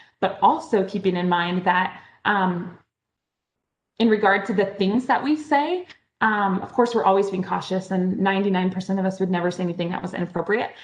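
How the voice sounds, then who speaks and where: At a fairly quick pace, a woman with a medium pitch talks with ordinary pitch variation. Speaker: benefit auctioneer. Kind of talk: conference presentation. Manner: fast.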